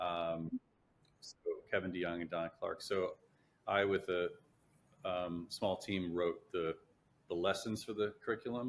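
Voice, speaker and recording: A man with a Chicago-area accent, at a fairly slow pace with long, frequent pauses. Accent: Chicago-area American English. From US Midwest, Chicago area. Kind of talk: interview testimony; casual interview chat. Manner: halting, many fillers and repeats.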